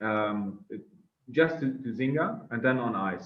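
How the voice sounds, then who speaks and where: A man speaks with a South Tyrolean accent. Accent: German-speaking South Tyrolean. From northern Italy (South Tyrol). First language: German. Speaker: drinks entrepreneur. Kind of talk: interview. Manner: halting, many fillers.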